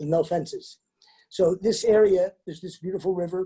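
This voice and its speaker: At a very fast pace, a man speaks in a high pitch with a dark, mellow tone. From USA, Mongolian family. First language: Mongolian. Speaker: travel company founder. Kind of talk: interview.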